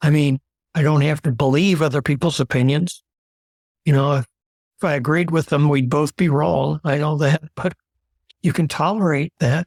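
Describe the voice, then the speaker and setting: A somewhat breathy man with a fairly high pitch speaks at a moderate pace with long, frequent pauses, fairly even intonation and very even loudness, in a dry, close sound with no echo. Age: 70s. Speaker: retiree. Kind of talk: interview answer.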